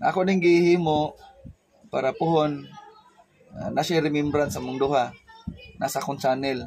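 Speaking in a Philippine accent, a man with a fairly high pitch and ordinary pitch variation moves at a fairly quick pace broken by long, frequent pauses. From Philippines. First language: Cebuano (speaking Tagalog). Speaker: teacher and vlogger; teacher, vlogger. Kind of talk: casual vlog talk. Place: home room. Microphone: lapel.

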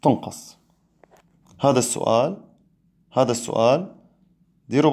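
This man speaks at a fairly slow pace with a medium pitch and a dark, mellow tone. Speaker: physics teacher. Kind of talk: live online exam review lesson. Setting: live stream.

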